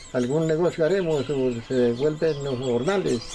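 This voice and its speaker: A man speaks fairly slowly with ordinary pitch variation while noticeable background noise carries on. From Colombia, rural Santander near Barichara. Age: 70s. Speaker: elderly farmer. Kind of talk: documentary interview testimony; casual neighbor chat.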